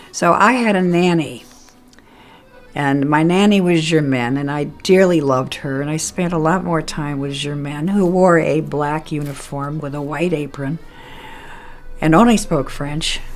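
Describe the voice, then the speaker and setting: Amid noticeable background noise and audible room echo, a woman speaks with a very deep, low pitch and ordinary pitch variation. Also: fairly slow pace. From France. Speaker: family elder telling her life story. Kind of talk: personal life story, oral history. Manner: halting, with some false starts.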